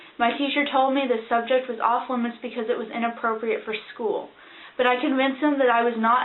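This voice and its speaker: In a room with audible echo, a woman rattles off words at a very fast pace, her fairly high pitch held in a flat monotone. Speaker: student vlogger. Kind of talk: casual introduction to camera.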